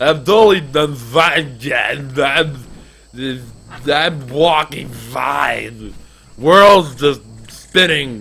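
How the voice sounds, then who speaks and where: A man puts on a raspy character voice with a fairly high pitch. He speaks very slowly, with long, frequent pauses. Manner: slurred, insisting he is fine.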